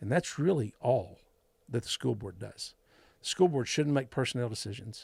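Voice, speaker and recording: With an American accent, a man speaks at a moderate pace in a somewhat breathy voice, his intonation lively and his loudness swinging widely, on a very clean recording with a silent background. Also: medium pitch for a man. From Texas. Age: 60s. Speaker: school board candidate. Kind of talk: interview. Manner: halting.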